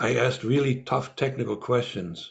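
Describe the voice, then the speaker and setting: Talking at a fairly quick pace, a man shows vocal fry and ordinary pitch variation. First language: Russian. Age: 70s. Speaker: former spy and author. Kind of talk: interview. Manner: halting, with many fillers and repeats.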